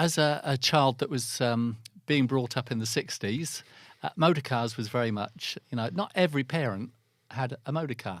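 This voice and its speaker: A man speaks at a medium pitch with an English accent, at a moderate pace and with ordinary pitch variation. The recording is very clean, with a silent background. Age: 60s. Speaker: business development manager in the car industry. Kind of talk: interview. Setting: studio. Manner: halting.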